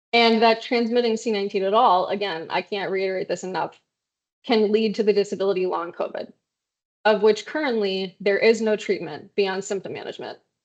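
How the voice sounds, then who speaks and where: The clip has an ordinary speaking voice with fairly even intonation. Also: woman, medium pitch for a woman. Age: 30s. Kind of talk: presentation talk at online meeting.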